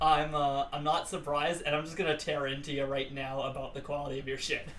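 Fairly quick speech from a man with fairly high pitch, audible room echo and noticeable background noise. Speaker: podcast co-host. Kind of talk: casual chat.

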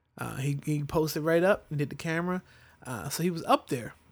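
With an ordinary speaking voice and a fairly high pitch, a man talks at a fairly quick pace in a very clean recording with a silent background. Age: 30s. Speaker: podcast host. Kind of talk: casual chat.

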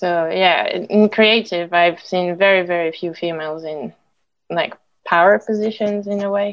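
With a French accent, a woman speaks at medium pitch, her intonation moving in an ordinary way. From France. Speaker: storyboard artist. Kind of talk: panel discussion.

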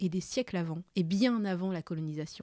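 Her medium-pitched voice has a dark, mellow tone. The sound of this woman is dry and close with no echo, in a very clean recording over a silent background. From Madagascar, moved to France at 9. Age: 30s. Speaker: podcast co-creator. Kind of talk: casual conversation.

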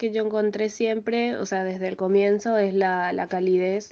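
A woman at a fairly high pitch with monotone, flat intonation and a fairly slow pace, music in the background. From Paraguay (Asunción). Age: 20s. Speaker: music student and piano teacher. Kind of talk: interview testimony.

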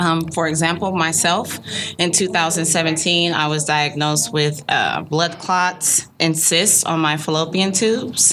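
Noticeable background noise behind a woman's fairly low voice, very slow pace, very even loudness and fairly even intonation. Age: 30s. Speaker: women's health business owner. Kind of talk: interview.

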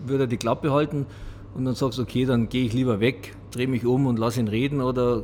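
At a fairly quick pace, a normal speaking voice keeps its intonation fairly even. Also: man. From Munich, Bavaria. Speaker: podcast host. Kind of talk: casual interview. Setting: boxing gym.

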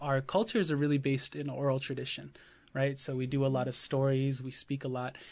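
A man with a plain, everyday voice speaks at a fairly quick pace and a fairly high pitch over a quiet background. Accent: American. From Oklahoma. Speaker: high school teacher. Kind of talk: interview.

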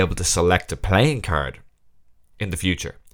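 A man at a moderate pace with an Irish accent. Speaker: magician and podcast host. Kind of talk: casual solo podcast monologue. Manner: laughs often while talking.

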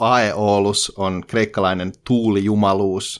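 The recording is very clean with a silent background, and a man speaks at a fairly low pitch in a plain, everyday voice. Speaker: podcast co-host. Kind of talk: reading a poem aloud in Finnish, translated rhymed verse. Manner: measured, rhythmic, sing-song cadence with a deliberate, slightly mock-solemn tone.

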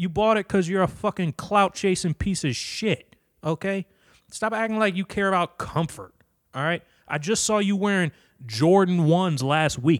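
In a very clean recording with a silent background, a man speaks loudly at a moderate pace. His voice sits high in pitch. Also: ordinary pitch variation, dry, close sound with no echo. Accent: American. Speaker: podcast host. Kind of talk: casual solo rant. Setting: home basement. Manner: loud, animated.

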